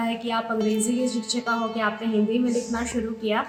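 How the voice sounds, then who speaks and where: Over music in the background, a woman's high-pitched voice carries audible room echo. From Mithila region, Bihar, India. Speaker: poet and English teacher. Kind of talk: interview; poetry reading. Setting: college book launch event. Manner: halting, many fillers.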